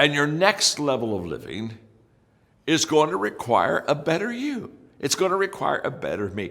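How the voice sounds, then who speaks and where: At a moderate pace, a man talks with a fairly high pitch, vocal fry and very wide pitch swings. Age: 70s. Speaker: leadership speaker. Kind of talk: motivational talk.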